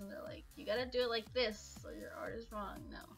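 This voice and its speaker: A woman talks with music playing in the background. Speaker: digital artist. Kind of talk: voice-over narration for art tutorial. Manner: hesitant, casual.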